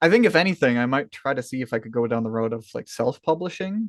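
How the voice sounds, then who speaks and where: In an American accent, a man speaks at a very fast pace with lively intonation and medium pitch. The sound is dry and close, with no echo. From USA. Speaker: hobby writer and streamer. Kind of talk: casual interview.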